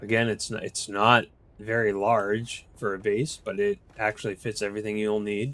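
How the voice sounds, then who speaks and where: On a very clean recording with a silent background, a man with an American accent talks at a moderate pace. His pitch is medium and his intonation fairly even. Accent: Boston accent, here and there. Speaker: gaming video creator. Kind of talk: gameplay walkthrough. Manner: casual, halting with fillers.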